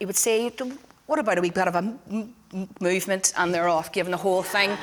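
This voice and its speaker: Speaking with a Northern Irish accent, a woman keeps a medium pitch and fairly even intonation. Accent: Derry Northern Irish. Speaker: community musician and choir director. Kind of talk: forum talk. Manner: halting.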